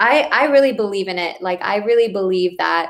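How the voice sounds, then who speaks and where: A woman's voice of medium pitch. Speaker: dietitian. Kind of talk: live Q&A stream. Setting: livestream on computer. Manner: fast. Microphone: computer mic, poor audio.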